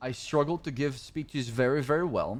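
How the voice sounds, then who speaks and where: On a very clean recording with a silent background, a man with a non-native accent speaks at a moderate pace with ordinary pitch variation. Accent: non-native English speaker. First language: Arabic. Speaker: streamer playing a roleplay game. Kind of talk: casual livestream chat and in-game roleplay.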